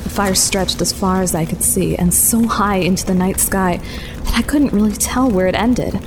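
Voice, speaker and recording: Over music in the background, a woman speaks at a medium pitch and a moderate pace, with ordinary pitch variation and very even loudness. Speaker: fiction narrator and lead character. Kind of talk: scripted first-person audio drama narration. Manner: suspenseful, hushed, breathless.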